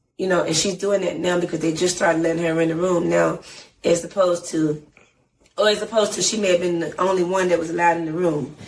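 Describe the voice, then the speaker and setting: With an American accent, a woman talks at a fairly quick pace in an animated tone and a fairly low pitch. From Atlanta, Georgia, US South. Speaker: singer and rapper. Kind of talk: interview.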